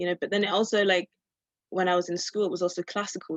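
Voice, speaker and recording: Here a woman is speaking. Her pitch sits fairly low. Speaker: master's student and jazz singer. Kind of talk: interview. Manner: halting.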